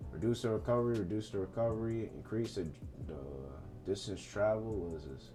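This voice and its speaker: Over music in the background, a man speaks at a fairly quick pace in a fairly low pitch with ordinary pitch variation. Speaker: gaming youtuber. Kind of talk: casual commentary reading patch notes. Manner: fast; casual slangy.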